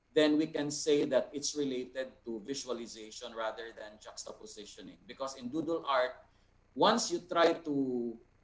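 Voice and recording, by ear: Moderate pace and mid-range pitch from a man, with pitch varying in an ordinary way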